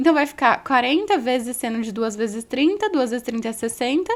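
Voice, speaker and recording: Speaking at a very fast pace, a woman uses a high pitch with ordinary pitch variation in a very clean recording with a silent background. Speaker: physics teacher. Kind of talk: tutorial.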